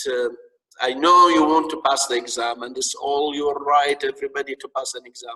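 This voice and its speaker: This man has a strong Arabic accent. He speaks at a moderate pace. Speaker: lecturer. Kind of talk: lecture. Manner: halting, repetitive.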